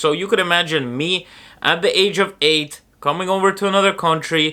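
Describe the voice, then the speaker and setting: A man with a high, bright, sharp voice projects loudly at a fairly quick pace, using ordinary pitch variation. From Ireland (Dublin area), born in Moscow. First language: Russian. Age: 20s. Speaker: vlogger. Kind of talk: casual vlog monologue.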